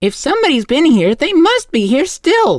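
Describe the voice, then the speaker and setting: A high-pitched put-on character voice with very wide pitch swings. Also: moderate pace. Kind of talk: bedtime story. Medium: read story. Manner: calm, measured.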